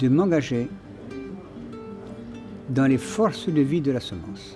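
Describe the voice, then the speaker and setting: Music plays in the background as a man talks at a very slow pace. His medium-pitched voice moves in very wide pitch swings. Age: 80s+. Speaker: farmer. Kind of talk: documentary interview answer.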